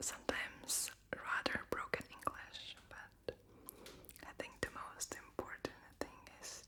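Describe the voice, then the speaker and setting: Someone whispers at a very slow pace with noticeable background noise. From Latvia. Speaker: ASMR creator. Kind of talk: whispered Q&A. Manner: whispering.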